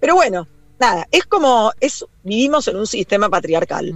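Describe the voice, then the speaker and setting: A woman with an unremarkable speaking voice and lively intonation. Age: 40s. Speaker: communicator and activist. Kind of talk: interview.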